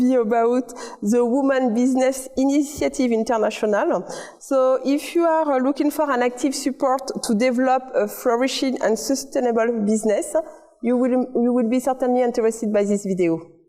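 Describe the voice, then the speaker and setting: A woman with a French accent, high-pitched, with fairly even intonation, very even loudness and a moderate pace, against noticeable background noise. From France. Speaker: community TV host. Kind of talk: interview.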